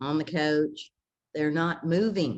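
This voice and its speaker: A woman speaks with a very deep, low pitch. Her pace is fairly slow and her intonation fairly even. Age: 70s. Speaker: fitness influencer. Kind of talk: interview.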